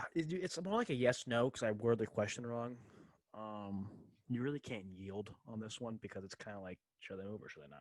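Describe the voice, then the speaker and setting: This man has an ordinary speaking voice, fairly low in pitch with ordinary variation, moving at a fairly quick pace with big swings in loudness. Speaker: sports podcast co-host. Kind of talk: casual chat.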